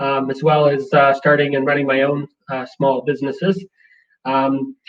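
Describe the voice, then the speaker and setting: The speaker talks with a Canadian accent. The pace is moderate. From Vancouver Island, British Columbia, Canada. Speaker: entrepreneur and workshop facilitator. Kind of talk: webinar presentation.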